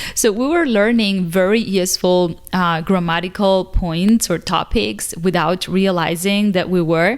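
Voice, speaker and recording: A medium-pitched woman with a Spanish accent, fairly slow but with hardly any pauses, very even in loudness, with ordinary pitch variation. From Cuba. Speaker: English teacher, video creator. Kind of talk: casual vlog talk to camera.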